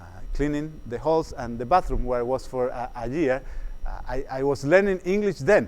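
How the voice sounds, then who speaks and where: The speaker has a Spanish accent. The intonation is lively and the pace fairly quick. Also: man. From Chile. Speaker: psychologist. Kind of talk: workshop lecture. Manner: halting, many fillers and repetitions.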